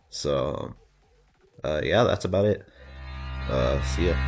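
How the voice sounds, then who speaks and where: This man's voice has vocal fry. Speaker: drama commentary YouTuber. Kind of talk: video outro monologue.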